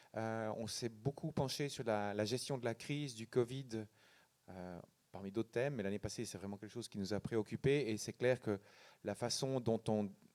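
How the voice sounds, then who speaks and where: A man speaks in a normal speaking voice at a medium pitch and moderate pace. The sound is dry and close with no echo, and his pitch varies in an ordinary way. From Switzerland, canton of Neuchâtel. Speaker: think tank director. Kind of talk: panel discussion. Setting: public event with audience.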